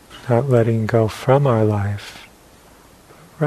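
The tone is calm, with noticeable background noise behind it. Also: man. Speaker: meditation teacher. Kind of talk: guided meditation. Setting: meditation center with a live audience. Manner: slow, calm, soft-spoken with long pauses.

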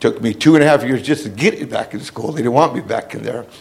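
A man talks in an animated way while background noise is clearly audible. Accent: American. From Hollister, California, Central Coast. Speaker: formerly incarcerated man, speaker. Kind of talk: personal testimony, life story. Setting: standing before audience. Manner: animated, plainspoken, emphatic.

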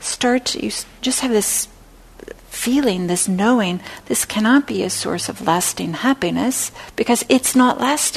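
A woman's fairly high voice, in a normal speaking voice, keeps a moderate pace and shows ordinary pitch variation. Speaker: meditation teacher. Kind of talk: dharma class. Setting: classroom with microphone.

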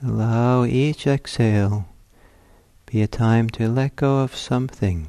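With very even loudness, a man at medium pitch uses a normal speaking voice with ordinary pitch variation. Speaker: meditation teacher. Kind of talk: guided meditation. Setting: meditation center, recorded talk. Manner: slow, calm, soft-spoken, with long pauses.

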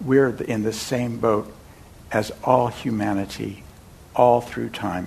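A man speaks over noticeable background noise. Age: 70s. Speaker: meditation teacher. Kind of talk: dharma talk. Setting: meditation center with audience. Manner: conversational, storytelling.

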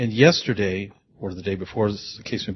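A man talks at a fairly quick pace. His voice is fairly low and somewhat breathy. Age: 60s. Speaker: audience member. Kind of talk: question from audience. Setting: meditation center with audience.

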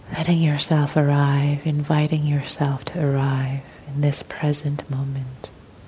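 The voice has a gentle, calm tone and monotone, flat intonation at a fairly slow pace, with noticeable background noise. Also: woman, very deep, low pitch for a woman. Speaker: meditation teacher. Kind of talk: guided meditation. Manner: slow, soft, gentle, calm; pausing, sighing between phrases.

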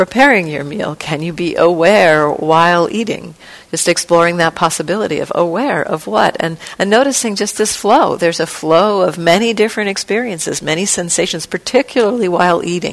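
This is a woman with a plain, everyday voice. Her pitch sits fairly low. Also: lively intonation. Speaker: meditation teacher. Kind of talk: guided meditation. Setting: meditation hall retreat. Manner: slow, gentle, soft-spoken, with long pauses; calm, soothing, tentative, suggesting with 'maybe'.

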